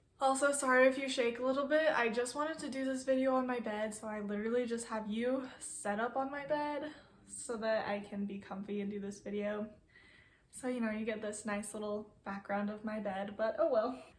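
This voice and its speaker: Audible room echo surrounds a woman speaking at a fairly quick pace and fairly high pitch with ordinary pitch variation. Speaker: vlogger. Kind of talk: casual vlog chat. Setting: sitting on bed, home recording.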